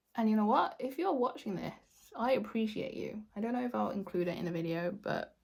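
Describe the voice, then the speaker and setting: Lively in intonation, a woman with vocal fry talks at a fairly high pitch and a fairly quick pace. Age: 30s. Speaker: beauty YouTuber. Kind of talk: product review monologue; casual outtake chat. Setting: home, in front of a window. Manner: casual, chatty.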